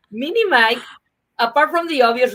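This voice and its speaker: Her speech moves at a moderate pace with lively intonation. The woman has a Mexican accent. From Mexico. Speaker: comedian and former marketer. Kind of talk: interview conversation.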